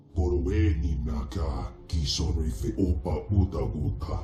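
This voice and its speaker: Using a put-on character voice, a man speaks very deep and low at a fairly slow pace. There is a slight echo and clear background noise. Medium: video game. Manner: speaks alien gibberish language.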